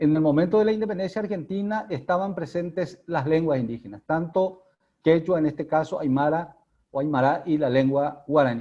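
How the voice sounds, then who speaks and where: Dark, mellow tone at a moderate pace. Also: man. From Paraguay. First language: Guarani (speaking Spanish). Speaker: academic speaker on linguistics. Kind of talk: lecture. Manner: halting.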